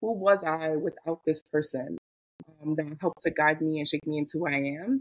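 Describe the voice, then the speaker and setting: In an ordinary speaking voice, a woman talks at a fairly quick pace and fairly low pitch with ordinary pitch variation, the sound dry and close with no echo. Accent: American. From US South, Mobile, Alabama family. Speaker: diversity and equity trainer. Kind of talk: casual interview.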